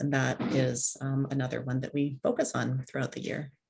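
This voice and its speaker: Speech at moderate speed, the recording very clean and the background silent. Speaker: French language teacher. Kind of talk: presentation to parents.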